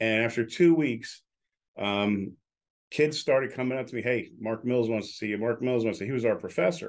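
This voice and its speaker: This man has an ordinary speaking voice, a medium pitch, ordinary pitch variation and a moderate pace. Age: 60s. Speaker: radio broadcaster and entrepreneur. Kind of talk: casual chat.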